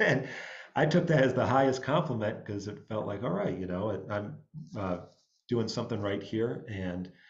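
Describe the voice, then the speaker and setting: Fairly low in pitch, a man in an upstate New York accent speaks at a moderate pace with lively intonation. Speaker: jazz musician and music director. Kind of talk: panel talk. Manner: halting, many fillers.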